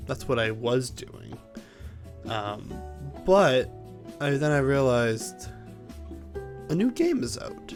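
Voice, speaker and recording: Against music in the background, a man speaks at a very slow pace, with long, frequent pauses and big swings in loudness. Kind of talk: casual gaming commentary. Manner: soft-spoken.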